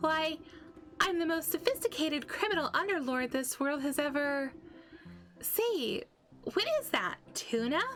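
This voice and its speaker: A woman's put-on character voice, extremely high-pitched, at a moderate pace with long, frequent pauses over background music. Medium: solo performance. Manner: boastful, taunting, theatrical.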